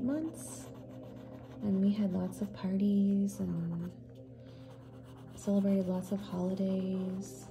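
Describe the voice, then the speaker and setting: Soft-spoken and at a medium pitch, a woman talks very slowly with lively intonation and long, frequent pauses over noticeable background noise. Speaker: ASMR artist. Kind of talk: ASMR storytime.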